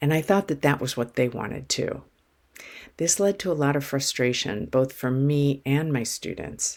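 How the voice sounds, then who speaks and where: A woman with a Midwestern American accent speaks at a moderate pace in a very deep, low voice. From Cleveland, Ohio. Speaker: accent coach. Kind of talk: personal story told to camera.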